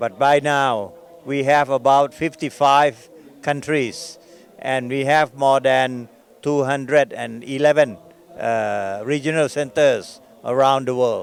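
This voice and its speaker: Fairly even intonation marks this man's fairly high voice as he talks at a very slow pace. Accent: Thai. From Thailand. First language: Thai. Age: 70s. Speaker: Buddhist organization president. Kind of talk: interview. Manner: halting.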